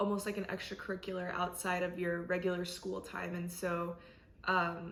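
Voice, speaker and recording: A woman with an American accent at a fairly slow pace, amid audible room echo. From South Korea, then US from age six. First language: Korean. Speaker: college student interviewee. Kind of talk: interview.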